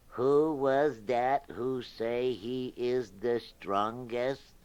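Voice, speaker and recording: A man's put-on character voice, very slow and at a medium pitch. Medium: read story.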